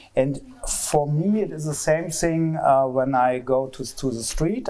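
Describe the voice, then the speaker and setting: With a German accent, a man talks using ordinary pitch variation. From East Germany. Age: 50s. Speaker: sculptor. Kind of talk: public talk interview. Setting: public event with audience. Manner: halting, hesitant.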